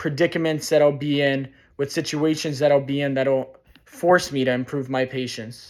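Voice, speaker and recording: A plain, everyday voice, a man with an American accent, fairly high pitch, fairly even intonation and a moderate pace, on a very clean recording with a silent background. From Chicago, US Midwest. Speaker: student. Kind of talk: class presentation.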